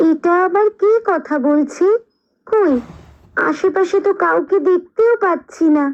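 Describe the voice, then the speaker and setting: A female-sounding cartoonish character voice, pitched extremely high, delivered at a fairly slow pace. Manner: sharp, bossy.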